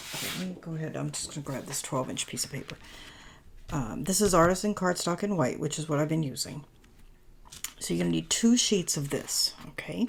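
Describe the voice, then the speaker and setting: Talking at a fairly quick pace, a woman uses a very deep, low pitch with vocal fry and very wide pitch swings. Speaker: paper crafting youtuber. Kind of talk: tutorial. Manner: soft-spoken; halting, self-correcting. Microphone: new microphone.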